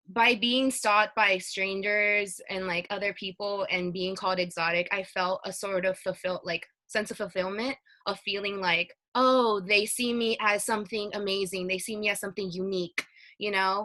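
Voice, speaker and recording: The voice has a bright, sharp tone with monotone, flat intonation. It moves at a moderate pace. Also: woman. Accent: Spanish. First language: Spanish. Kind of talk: casual chat. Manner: hesitant, many fillers.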